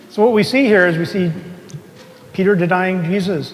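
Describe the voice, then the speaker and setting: Noticeable background noise and audible room echo fill the recording. The speaker keeps a moderate pace and fairly even intonation. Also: man. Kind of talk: sermon. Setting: church with congregation. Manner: soft-spoken; conversational, asks the congregation questions.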